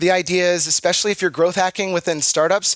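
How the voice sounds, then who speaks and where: An energetic man speaks at a high pitch, the sound dry and close with no echo. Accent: American. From Washington, D.C., US. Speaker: marketing conference speaker. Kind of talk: conference talk. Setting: stage with audience. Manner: fast.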